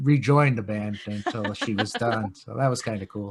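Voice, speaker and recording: In a New York accent, a man talks with ordinary pitch variation. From Long Island, New York. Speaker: punk rock guitarist. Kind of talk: podcast interview. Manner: relaxed, hesitant with fillers.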